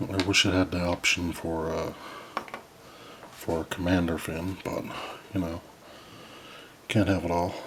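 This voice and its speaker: Speaking at a fairly slow pace with long, frequent pauses, a man uses a very deep, low pitch and monotone, flat intonation over noticeable background noise. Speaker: model kit builder. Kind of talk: tutorial. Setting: home at night. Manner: soft-spoken.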